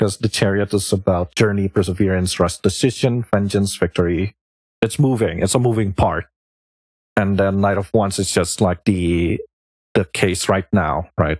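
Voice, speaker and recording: A man with a non-native accent speaks at a fairly low pitch and moderate pace, with fairly even intonation and very even loudness, in a dry, close sound with no echo on a very clean recording with a silent background. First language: not English. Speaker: streamer, tarot reader. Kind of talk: live stream tarot reading. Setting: live stream. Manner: casual, thinking aloud.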